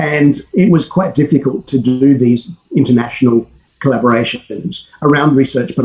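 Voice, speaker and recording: The speaker is a man with an ordinary speaking voice at medium pitch. He moves at a moderate pace with ordinary pitch variation. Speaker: academic researcher. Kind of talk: conference presentation.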